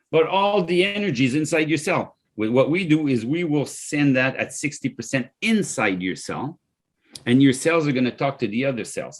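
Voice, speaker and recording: A man speaks with a French accent at a medium pitch. His pace is moderate and his intonation lively. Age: 60s. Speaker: company founder and CEO. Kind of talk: podcast interview, product pitch. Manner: animated.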